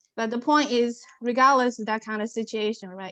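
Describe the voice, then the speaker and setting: Spoken with a non-native accent and fairly even intonation, the voice sits over a quiet background. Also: woman. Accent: interesting accent, non-native. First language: not English. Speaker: aviation professional, panelist. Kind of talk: panel discussion.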